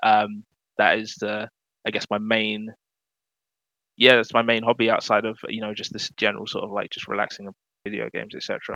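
With a London accent, a man speaks in a fairly low pitch and a bright, sharp tone, his intonation monotone and flat. He keeps a moderate pace broken by long, frequent pauses, with big swings in loudness in a dry, close sound with no echo. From London, England. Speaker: video game community manager. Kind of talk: casual interview chat.

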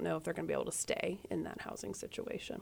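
The speaker is a woman. She talks in a Midwestern American accent. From US Midwest, Indiana. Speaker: nonprofit deputy director. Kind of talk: radio interview. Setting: studio.

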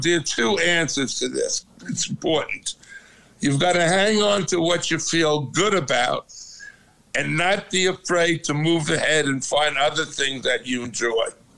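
There is noticeable background noise as a man speaks at a fairly slow pace. His pitch is high, his loudness very even. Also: ordinary pitch variation. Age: 80s. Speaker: father of host. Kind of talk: casual family chat. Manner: loud, talkative.

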